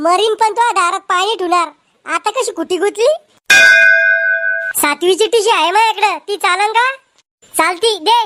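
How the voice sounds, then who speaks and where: A woman does a cartoonish character voice at an extremely high pitch. She goes at a fairly slow pace. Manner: quarrelsome, taunting.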